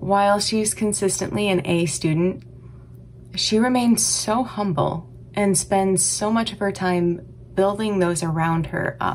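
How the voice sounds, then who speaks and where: A woman speaks at a fairly slow pace with ordinary pitch variation over light background noise. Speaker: music teacher. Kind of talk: tribute speech. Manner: polished, scripted. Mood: warm, proud. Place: home room. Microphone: webcam.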